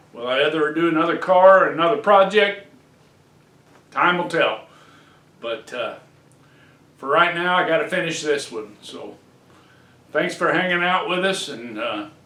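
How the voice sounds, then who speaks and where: Amid audible room echo, a man with a high voice speaks at a moderate pace with lively intonation, big swings in loudness and long, frequent pauses. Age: 60s. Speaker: hobbyist car restorer. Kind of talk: casual DIY video talk. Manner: relaxed with many fillers.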